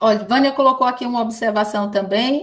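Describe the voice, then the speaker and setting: With audible room echo, a woman talks at a fairly high pitch and ordinary pitch variation. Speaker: education professor. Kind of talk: lecture. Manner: fast.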